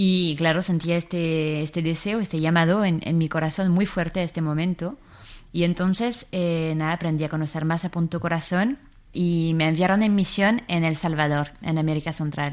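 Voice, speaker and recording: A woman's fairly low voice, moderate in pace with fairly even intonation, on a very clean recording with a silent background. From France, Versailles. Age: 20s. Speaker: staff of online prayer platform. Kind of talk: radio interview. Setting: studio.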